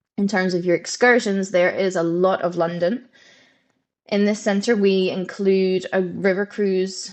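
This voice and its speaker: A woman with a Scottish accent, medium pitch and ordinary pitch variation, speaking at a fairly slow pace over a quiet background. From Scotland. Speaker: head of programmes at a language school. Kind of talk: webinar presentation. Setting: live webinar. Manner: conversational, with frequent fillers.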